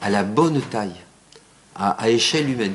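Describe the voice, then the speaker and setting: A man talks in a southern French accent with lively intonation. Noticeable background noise runs under the recording. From southern France. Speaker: architect. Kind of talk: lecture. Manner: halting, many fillers and repetitions.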